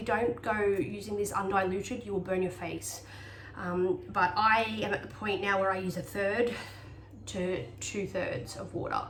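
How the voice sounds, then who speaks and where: With audible room echo and noticeable background noise, a woman talks with ordinary pitch variation. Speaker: health vlogger sharing personal remedies. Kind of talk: casual tutorial monologue. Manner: fast; hesitant, many fillers.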